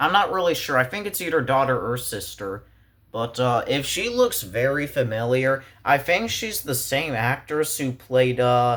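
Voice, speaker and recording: Delivered at a moderate pace, the voice has an animated tone and lively intonation. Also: man, medium pitch for a man. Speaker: movie reviewer. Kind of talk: casual movie review commentary. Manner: animated, exasperated; pitch rising when frustrated.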